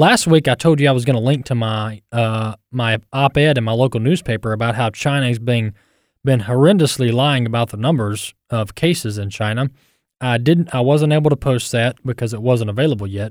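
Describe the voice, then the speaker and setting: A man with an American accent talks at a moderate pace and medium pitch, in a normal speaking voice with ordinary pitch variation. The sound is dry and close, with no echo. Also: very clean recording, silent background. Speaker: radio host. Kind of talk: radio commentary.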